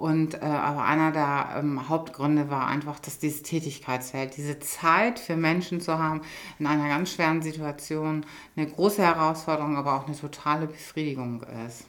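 At a moderate pace, the woman speaks in a very deep, low pitch with fairly even intonation. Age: 50s. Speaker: hospice coordinator and nurse. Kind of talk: interview.

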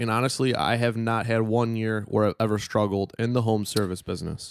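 An ordinary speaking voice comes from a man talking at a fairly quick pace with fairly even intonation, in a very clean recording with a silent background. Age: 20s. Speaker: business owner and podcast co-host. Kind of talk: casual chat.

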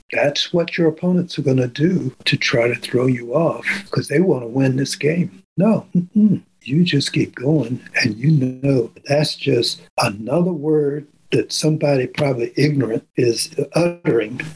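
A man with an American accent sounds somewhat breathy, keeping his loudness very even and his pitch variation ordinary. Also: fairly high pitch for a man, fairly slow pace. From Maryland, US. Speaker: retired fisheries scientist. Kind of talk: interview.

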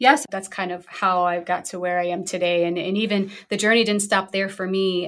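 A woman with a plain, everyday voice speaks at a moderate pace and medium pitch, with fairly even intonation and hardly any pauses. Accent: American. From US Northeast, Brooklyn, New York. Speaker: functional medicine physician. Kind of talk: interview conversation.

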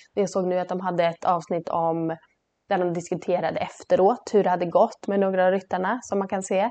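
Against a quiet background, a woman talks in a medium pitch with flat, monotone intonation. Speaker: podcast co-host, horse trainer. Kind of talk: casual chat.

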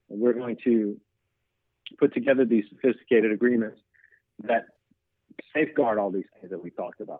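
A man with an American accent talks at a very fast pace, his medium pitch showing ordinary variation. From US South. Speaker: attorney. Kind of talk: interview.

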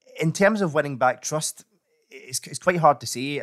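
A normal speaking voice at a fairly quick pace, with ordinary pitch variation, dry, close sound with no echo, and a very clean recording over a silent background. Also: man. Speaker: political reporter. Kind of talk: casual political discussion.

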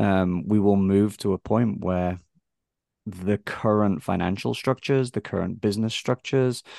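A man with an English accent speaks at a fairly low pitch, with ordinary pitch variation. The sound is dry and close with no echo, over a quiet background. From England. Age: 40s. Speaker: tech company founder. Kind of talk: interview conversation.

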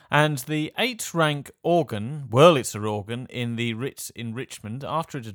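A man with an ordinary speaking voice at a fairly slow pace, ordinary pitch variation, on a very clean recording with a silent background. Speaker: radio host. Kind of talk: scripted radio presenting.

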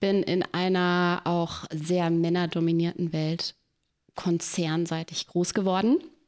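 In a very clean recording with a silent background, a woman speaks at a very slow pace in a medium pitch. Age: 40s. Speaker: podcast co-host and doula. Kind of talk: casual chat.

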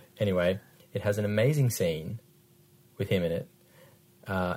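A dark, mellow tone with an Australian accent on a very clean recording, the background silent. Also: man. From Western Australia. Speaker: podcast co-host, former radio host. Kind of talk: casual chat about films.

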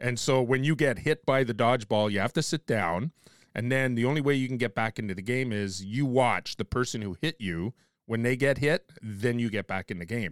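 A man with an ordinary speaking voice talks at a fairly quick pace in a medium pitch, with ordinary pitch variation, in a dry, close recording with no echo, very clean against a silent background. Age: 50s. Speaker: podcast host. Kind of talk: casual chat.

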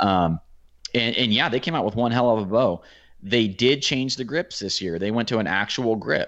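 A man speaks with an American accent at a moderate pace, with ordinary pitch variation and an ordinary speaking voice. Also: medium pitch for a man. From Oregon. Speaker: archery YouTuber. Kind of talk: casual chat.

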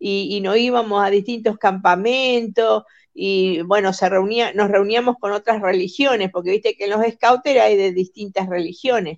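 A woman with an unremarkable speaking voice talks at a moderate pace in a medium pitch, with ordinary pitch variation and hardly any pauses. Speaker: former church member. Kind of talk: casual chat.

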